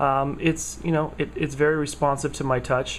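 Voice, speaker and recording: A man with a fairly high pitch keeps a moderate pace. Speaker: tech vlogger. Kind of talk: casual product review vlog. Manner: halting, many fillers.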